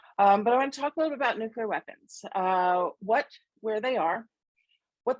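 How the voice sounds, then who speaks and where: A woman's fairly high voice, with ordinary pitch variation, sounds dry and close with no echo. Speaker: anti-nuclear campaigner. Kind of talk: presentation to a group. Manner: enthusiastic.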